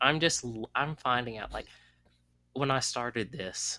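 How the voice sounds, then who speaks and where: A man with a Southern US accent talks at a fairly slow pace, his medium-pitched voice bright and sharp with vocal fry. Ordinary pitch variation runs through a dry, close sound with no echo. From US South. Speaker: podcast host. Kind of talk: casual chat.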